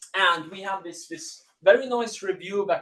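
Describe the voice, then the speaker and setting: A man with an Italian accent speaks at a moderate pace in a high pitch, showing ordinary pitch variation. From Italy. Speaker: university lecturer. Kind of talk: lecture. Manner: hesitant with fillers and repeats.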